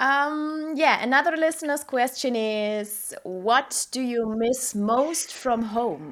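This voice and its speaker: Over a silent background in a very clean recording, a woman with a high pitch speaks at a very slow pace with lively intonation and hardly any pauses. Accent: German. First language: German. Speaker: podcast co-host. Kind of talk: interview.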